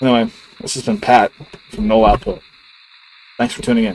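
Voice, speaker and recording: Against noticeable background noise, a man speaks quietly at medium pitch with lively intonation. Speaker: gaming YouTuber. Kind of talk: casual channel update monologue. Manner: quiet, low-key; casual, hesitant with filler words.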